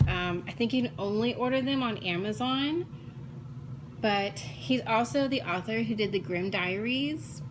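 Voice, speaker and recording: A woman with an American accent speaks at a fairly slow pace in a medium-pitched voice. Her pitch swings very widely while her loudness stays very even, with audible room echo. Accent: Texan accent, stronger when excited. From South Texas, Corpus Christi. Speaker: crafting vlogger. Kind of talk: casual chat. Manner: hesitant fillers.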